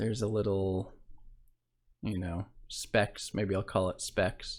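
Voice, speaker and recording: A man's fairly low, monotone voice with flat intonation at a very slow pace, in a very clean recording with a silent background. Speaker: blogging tutorial creator. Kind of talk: screen-share tutorial. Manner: casual, with fillers.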